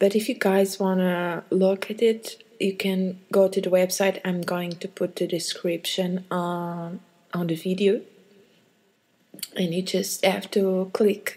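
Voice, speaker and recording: A woman with a non-native accent speaks at a very slow pace and medium pitch, with a dark, mellow tone and monotone, flat intonation. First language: not English. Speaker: channel host reading experiences. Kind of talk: casual introduction. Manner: halting.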